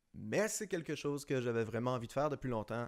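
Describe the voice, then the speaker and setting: A man with a Quebec accent talks with ordinary pitch variation on a very clean recording with a silent background. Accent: Québécois French. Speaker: designer and YouTuber. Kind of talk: personal vlog monologue. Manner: hesitant, many fillers.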